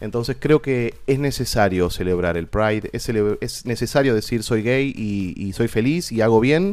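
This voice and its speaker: With an Argentine accent, a man speaks at a medium pitch and a fairly slow pace, with hardly any pauses. His pitch variation is ordinary, and the recording is very clean with a silent background. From Argentina. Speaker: theatre director and actor. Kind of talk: casual chat.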